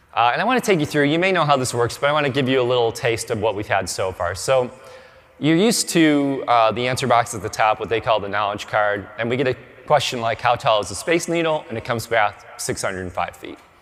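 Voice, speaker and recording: Noticeable background noise sits behind a man who speaks very fast at a medium pitch with lively intonation. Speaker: conference speaker on search marketing. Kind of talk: conference talk.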